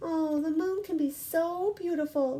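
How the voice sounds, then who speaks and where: A woman uses a put-on character voice, pitched extremely high. She talks at a fairly slow pace with ordinary pitch variation. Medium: read story.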